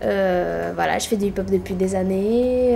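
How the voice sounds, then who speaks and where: A woman talks at a medium pitch. Audible room echo surrounds her voice. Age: 20s. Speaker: dancer in professional training. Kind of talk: interview.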